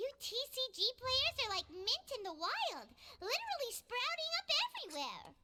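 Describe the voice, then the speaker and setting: At a moderate pace, a put-on character voice comes through squeaky and extremely high in pitch. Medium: video game. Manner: lively, teasing.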